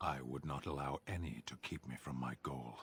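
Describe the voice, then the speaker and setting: A growling, put-on character voice moves at a moderate pace. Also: man, very deep, low pitch for a man. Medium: video game. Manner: blunt, stern.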